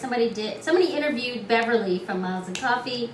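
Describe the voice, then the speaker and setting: A woman speaks in a room with audible echo. Noticeable background noise is present. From Northern California (San Francisco, Oakland). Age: 50s. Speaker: English teaching student and digital artist. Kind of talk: interview.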